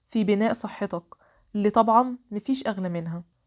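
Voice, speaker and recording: In a dry, close recording with no echo, a woman with an Egyptian accent speaks at a fairly high pitch. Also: quiet background. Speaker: podcast host. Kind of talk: solo podcast monologue.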